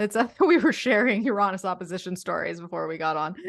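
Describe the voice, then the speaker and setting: A woman talks at a moderate pace and medium pitch. She has a plain, everyday voice. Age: 40s. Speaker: podcast host. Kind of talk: casual chat.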